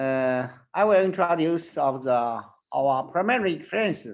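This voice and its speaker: With a Chinese accent, a man speaks at a fairly slow pace in a fairly high pitch, with ordinary pitch variation. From China. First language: Mandarin Chinese. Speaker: surgeon and professor. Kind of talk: presentation. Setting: online webinar. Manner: halting, non-fluent English.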